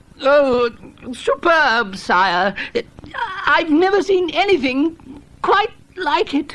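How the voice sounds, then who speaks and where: A put-on character voice, high and mumbling, nervous in tone, very slow, with very wide pitch swings and long, frequent pauses. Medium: read story. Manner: nervous, mumbling.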